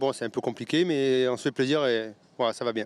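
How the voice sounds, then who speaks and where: Recorded dry and close with no echo, a man talks at a medium pitch with fairly even intonation. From Bordeaux, France. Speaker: race driver. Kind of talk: interview.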